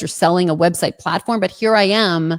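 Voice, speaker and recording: A woman with a New Jersey accent, animated in tone with ordinary pitch variation, on a very clean recording with a silent background and a dry, close sound with no echo. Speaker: entrepreneur, social media marketer. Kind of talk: livestream interview.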